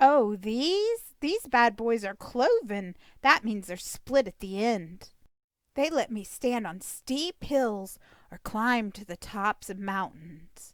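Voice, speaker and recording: At a very slow pace, a woman uses a put-on character voice pitched fairly high, recorded very cleanly against a silent background. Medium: read story. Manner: wry, complaining.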